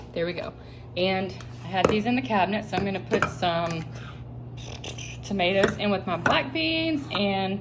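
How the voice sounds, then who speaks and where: A woman talks at a medium pitch. There is noticeable background noise and audible room echo. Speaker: meal prep vlogger. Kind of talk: tutorial. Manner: casual, conversational.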